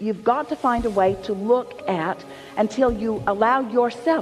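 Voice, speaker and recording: Music plays in the background. Over it, a man speaks with a high pitch. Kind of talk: spiritual teaching session answering audience questions, Law of Attraction talk. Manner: conversational, explanatory, repeated rhetorical questions.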